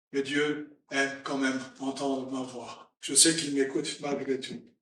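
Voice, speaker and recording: A man's fairly high-pitched, monotone and flat voice at a fairly slow pace, with audible room echo. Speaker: preacher. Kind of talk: sermon. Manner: halting.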